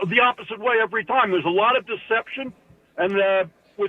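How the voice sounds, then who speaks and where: A high-pitched man's voice with lively intonation at a fairly quick pace. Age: 80s+. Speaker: caller. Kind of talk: call-in to sports radio. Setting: phone call. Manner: halting.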